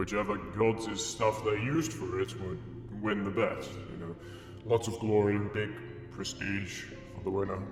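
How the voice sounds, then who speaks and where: A man uses a put-on character voice with a fairly low pitch, at a moderate pace with long, frequent pauses. There is a clear echo and loud background noise. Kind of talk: mock-solemn divine pronouncement. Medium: machinima.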